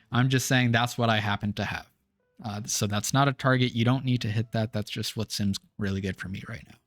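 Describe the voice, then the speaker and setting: Over music in the background, a man speaks fairly quickly at a medium pitch, with fairly even intonation, big swings in loudness, and a dry, close sound with no echo. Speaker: gaming video creator. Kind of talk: tutorial.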